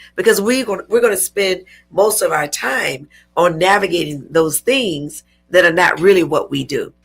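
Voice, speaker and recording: Her voice is an ordinary speaking voice at a medium pitch. The woman talks at a moderate pace with lively intonation. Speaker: talk show host and entrepreneur. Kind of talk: interview.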